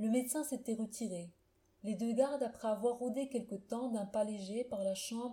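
The passage is read aloud in a natural voice.

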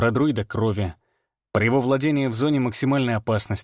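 Against a quiet background, the voice is plain reading aloud with ordinary pitch variation.

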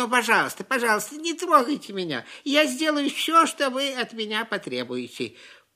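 Using a put-on character voice, a woman speaks high and shaky at a moderate pace with hardly any pauses. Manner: trembling, begging.

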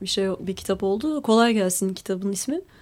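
The tone is dark and mellow. A woman delivers it at a fairly quick pace. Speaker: lawyer and writer. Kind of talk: radio interview.

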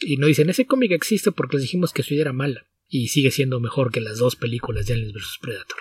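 Somewhat breathy, a man talks at a very fast pace. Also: medium pitch for a man, ordinary pitch variation. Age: 40s. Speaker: comics podcast co-host and translator. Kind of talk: casual chat.

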